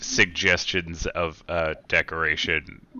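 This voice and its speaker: At a fairly slow pace, a man uses a put-on character voice pitched very deep and low. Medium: actual play. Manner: formal, measured.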